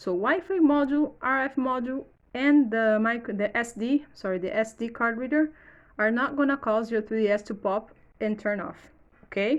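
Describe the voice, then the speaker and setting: A woman's fairly high voice in a Portuguese accent, at a moderate pace. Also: quiet background. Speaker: electronics repair youtuber. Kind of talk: tutorial. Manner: halting.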